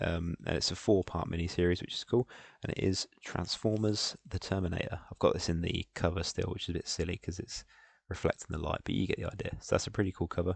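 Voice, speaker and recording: A man with a very deep, low, somewhat breathy voice talks at a very fast pace with fairly even intonation, in a dry sound with no echo. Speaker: podcast host. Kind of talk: casual podcast chat. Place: home room. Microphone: headset.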